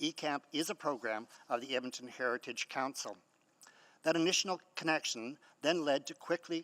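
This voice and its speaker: The recording is very clean, with a silent background and a dry, close sound with no echo. A man speaks in a plain, everyday voice at a fairly quick pace with fairly even intonation. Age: 60s. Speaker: community historian and nonprofit founder. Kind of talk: public hearing submission, prepared statement. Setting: city council chamber.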